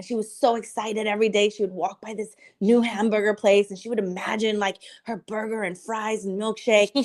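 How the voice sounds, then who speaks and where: A woman's animated tone at a fairly high pitch and a fairly quick pace. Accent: Spanish. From Cuba, raised in US from childhood. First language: Spanish. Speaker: filmmaker. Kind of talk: podcast interview.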